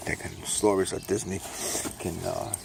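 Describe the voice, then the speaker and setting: A man with a New York accent at a moderate pace, over noticeable background noise. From New York, Brooklyn. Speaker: self-published author and vlogger. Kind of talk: casual monologue while walking. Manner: speaking low; rambling with fillers.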